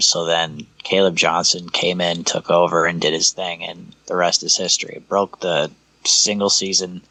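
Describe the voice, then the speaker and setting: A man's very deep, low pitch at a fairly slow pace. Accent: American. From Iowa. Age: 30s. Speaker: sports podcast co-host. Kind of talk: casual chat.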